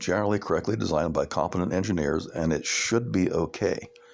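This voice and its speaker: A man with a very deep, low pitch talks at a very fast pace, his pitch varying in an ordinary way. Noticeable background noise can be heard. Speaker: amateur radio operator and electronics tinkerer. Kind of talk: technical tutorial monologue. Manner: halting, repeats words.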